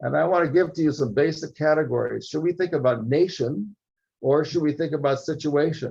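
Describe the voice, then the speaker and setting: Speaking fairly quickly with an American accent, a man has a fairly high pitch, a dark, mellow tone and vocal fry. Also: ordinary pitch variation. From US (New York). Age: 70s. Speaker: political science professor. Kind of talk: lecture. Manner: halting.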